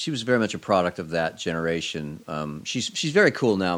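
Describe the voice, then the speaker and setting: Speaking at a very fast pace with lively intonation, a man with a very deep, low pitch talks in an American accent. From Oklahoma (Ponca City, Tulsa). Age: 50s. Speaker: cartoonist. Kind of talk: casual chat.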